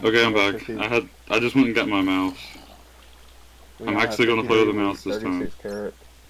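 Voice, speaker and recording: A man with a fairly low pitch and monotone, flat intonation keeps a moderate pace against noticeable background noise. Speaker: gamer in a group let's play video. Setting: online voice chat.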